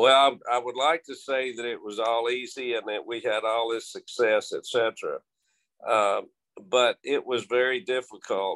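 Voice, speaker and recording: A man with a Texan accent talks at a fairly slow pace. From Texas, Abilene. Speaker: high school football coach. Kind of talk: interview.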